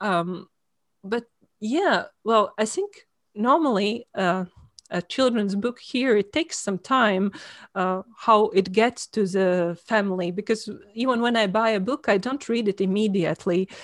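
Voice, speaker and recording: A woman with a Latvian accent speaks at a fairly slow pace in a medium pitch with ordinary pitch variation, the recording very clean with a silent background and a dry, close sound with no echo. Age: 40s. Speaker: author. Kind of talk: interview. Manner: halting.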